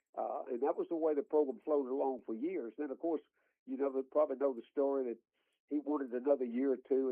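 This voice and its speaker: Very fast speech in a Southern US accent. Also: man. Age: 80s+. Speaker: college football analyst. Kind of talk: radio interview. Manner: halting.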